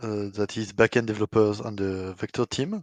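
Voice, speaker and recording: A man's medium-pitched voice with a slight French accent, fairly even intonation and fairly slow pace, dry and close with no echo over a quiet background. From France. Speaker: software developer. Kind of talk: community AMA discussion.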